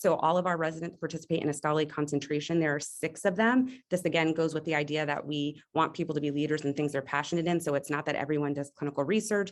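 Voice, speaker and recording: A woman with a very deep, low pitch speaks at a very fast pace with hardly any pauses and ordinary pitch variation, in front of a quiet background. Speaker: pediatrics residency faculty and diversity dean. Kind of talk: webinar program presentation. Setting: video call.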